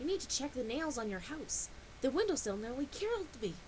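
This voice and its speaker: A female-sounding put-on character voice comes through, high-pitched and at a fairly quick pace. Loud background noise runs underneath. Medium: read story. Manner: blunt, pushy.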